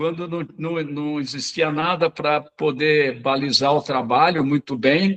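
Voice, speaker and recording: A man talks with ordinary pitch variation. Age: 60s. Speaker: occupational therapist. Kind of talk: webinar talk. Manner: halting, many fillers.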